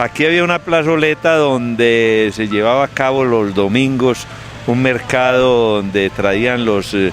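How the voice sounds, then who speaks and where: A man speaks at a very slow pace and a medium pitch. Noticeable background noise runs underneath. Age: 60s. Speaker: local elder, interviewee. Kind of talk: oral history interview. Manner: halting, many fillers.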